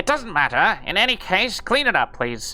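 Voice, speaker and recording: Over light background noise, a man uses a put-on character voice with extremely high pitch at a moderate pace. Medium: game stream. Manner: defensive, grumpy.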